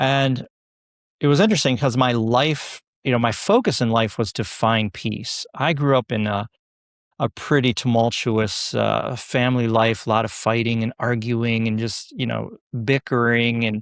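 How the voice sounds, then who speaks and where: On a very clean recording with a silent background and a dry, close sound with no echo, a man with an ordinary speaking voice of medium pitch talks at a moderate pace with fairly even intonation. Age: 60s. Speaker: yoga instructor and nurse. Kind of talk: podcast interview.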